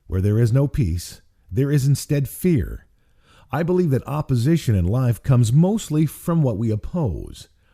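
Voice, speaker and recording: On a very clean recording with a silent background, a man speaks at a moderate pace in a somewhat breathy voice with a dark, mellow tone, a medium pitch and very wide pitch swings. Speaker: author and radio broadcaster. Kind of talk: audiobook reading of own spiritual book. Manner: warm, peaceful.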